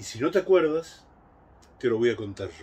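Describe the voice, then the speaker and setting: Somewhat breathy, the man's voice moves through very wide pitch swings. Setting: home recording, a solo video message. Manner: warm, reflective, conversational. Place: garden. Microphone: phone near.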